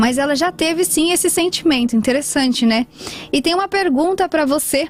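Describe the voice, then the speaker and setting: With music in the background, a woman speaks at a high pitch and a fairly quick pace with ordinary pitch variation. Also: very even loudness. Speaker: radio host. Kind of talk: radio talk show hosting. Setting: radio studio. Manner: upbeat, friendly.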